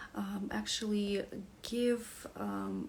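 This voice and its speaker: A woman is heard with noticeable background noise and audible room echo. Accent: Russian. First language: Russian. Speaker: wellness coach. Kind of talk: beginner's class presentation. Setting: live stream. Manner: halting, many fillers.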